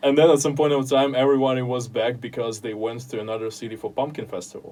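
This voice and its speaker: Against noticeable background noise, a man with a Russian accent talks at a very fast pace in a medium pitch, keeping his intonation fairly even. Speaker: podcaster and writer. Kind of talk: interview, casual chat. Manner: halting, with many fillers.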